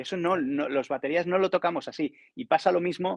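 Fairly quick speech with vocal fry, a quiet background and a dry, close sound with no echo. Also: man. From Barcelona, Spain. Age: middle-aged. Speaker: professional session drummer. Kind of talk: casual chat.

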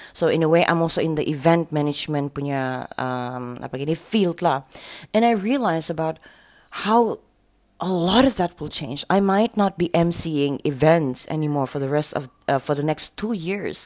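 On a very clean recording with a silent background, a woman with a Sabahan accent speaks at a moderate pace, her very deep, low voice carrying lively intonation. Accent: Malaysian English with Sabahan Malay. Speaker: radio host. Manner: upbeat, conversational, laughing, friendly banter.

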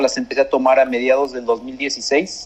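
At a moderate pace, a man with a fairly high pitch talks in an unremarkable speaking voice. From Mexico. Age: 40s. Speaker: university graduate, father. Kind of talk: interview.

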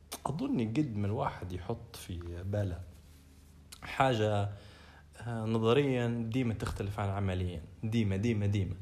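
A man speaks at a fairly slow pace with ordinary pitch variation. Audible room echo and noticeable background noise accompany his voice. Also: fairly low pitch for a man. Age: 30s. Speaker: podcast co-host. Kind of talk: casual chat.

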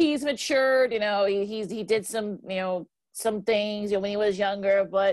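A woman speaks in a plain, everyday voice with an American accent, her pitch medium. She keeps a moderate pace and ordinary pitch variation. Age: 40s. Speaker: sports podcast co-host. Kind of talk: casual sports talk. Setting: video call.

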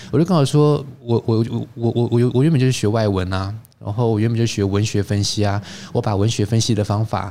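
A man speaks at a fairly quick pace in a fairly low pitch, with a dark, mellow tone. His loudness stays very even, and his pitch varies in an ordinary way. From Taiwan. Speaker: wine expert and teacher. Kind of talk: interview.

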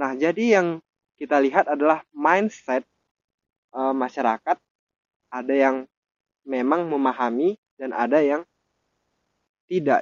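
With a fairly high pitch and ordinary pitch variation, a man speaks with long, frequent pauses. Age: 20s. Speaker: university student. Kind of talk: student discussion podcast. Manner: formal.

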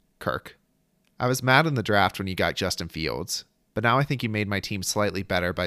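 On a very clean recording with a silent background, a man speaks at a moderate pace in a very deep, low pitch with vocal fry, a bright, sharp tone, a playful tone and very wide pitch swings. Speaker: fantasy football podcast host. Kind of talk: comedic roast of fantasy league teams. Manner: self-deprecating, playful.

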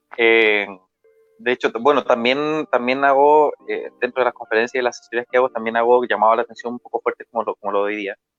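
A man talking at a very fast clip, medium-pitched, with music playing behind him. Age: 30s. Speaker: marketing speaker. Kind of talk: motivational talk. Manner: energetic.

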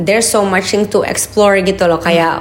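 A woman speaks in an animated tone at a fairly quick pace, with noticeable background noise and audible room echo. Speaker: entrepreneur. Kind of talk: casual chat.

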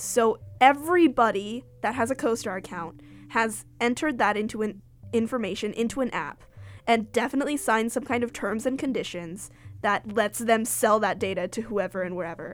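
A woman uses a normal speaking voice with a fairly high pitch. She speaks at a fairly quick pace with ordinary pitch variation. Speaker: podcast host. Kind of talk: scripted intro mixed with casual interview chat.

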